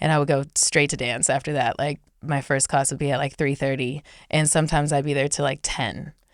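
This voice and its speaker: A woman speaks fairly quickly with an American accent, her pitch very deep and low. Her intonation stays monotone and flat. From Northern California (Chico). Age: 30s. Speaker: professional dancer. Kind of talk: interview. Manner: casual.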